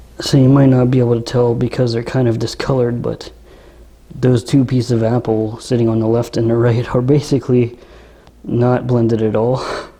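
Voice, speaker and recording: Soft-spoken and monotone, a man delivers flat intonation at a fairly quick pace. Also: medium pitch for a man. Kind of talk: product review demo, casual talk to camera. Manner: soft-spoken, monotone, relaxing drone.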